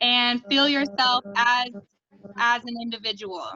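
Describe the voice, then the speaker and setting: At a very slow pace, a woman speaks with a high pitch and fairly even intonation. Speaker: meditation guide. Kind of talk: guided meditation.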